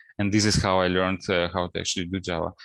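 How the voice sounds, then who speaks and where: A man speaks with a Russian accent. The sound is very clean, dry and close with no echo, over a silent background. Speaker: principal data scientist. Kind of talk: interview. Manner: hesitant, many fillers.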